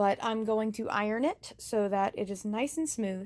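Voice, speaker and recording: A woman with an ordinary speaking voice, a fairly slow pace and ordinary pitch variation. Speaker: DIY crafts vlogger. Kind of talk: casual tutorial vlog. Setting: outdoors, then indoors in closet.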